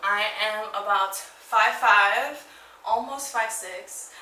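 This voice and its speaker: With a New York accent, a woman talks at a fairly high pitch amid noticeable background noise and audible room echo. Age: 20s. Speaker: fitness vlogger. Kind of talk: casual Q&A vlog. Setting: at home. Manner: animated; casual with filler words.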